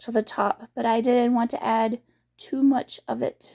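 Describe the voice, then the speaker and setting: The voice is squeaky. It moves at a moderate pace. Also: woman. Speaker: craft vlogger. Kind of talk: casual vlog update. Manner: hesitant, many fillers.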